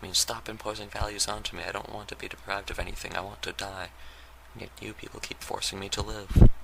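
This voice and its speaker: A soft-spoken man talks at a very fast pace, his loudness swinging widely. Background noise is noticeable. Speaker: YouTube vlogger. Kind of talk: off-the-cuff monologue. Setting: lying on the floor at home. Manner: soft-spoken, very quiet.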